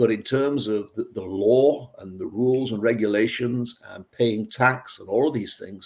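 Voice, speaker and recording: A man speaks at a fairly slow pace with a medium pitch, ordinary pitch variation and big swings in loudness. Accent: northern English. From northwest England, near Manchester. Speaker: beer scientist. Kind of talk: interview. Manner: conversational with frequent fillers and repeats.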